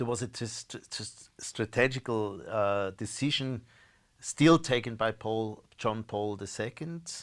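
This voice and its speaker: A man speaks with a German accent at a medium pitch and a fairly slow pace. His pitch variation is ordinary, and the recording is very clean with a silent background. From Austria. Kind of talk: interview. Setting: live stream. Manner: halting, frequent repetitions.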